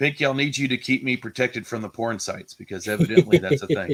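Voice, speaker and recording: This speaker has an American accent, and the sound is dry and close with no echo. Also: man. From New Orleans, US South. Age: 30s. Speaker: YouTube collectibles streamer. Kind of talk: casual chat. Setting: live stream.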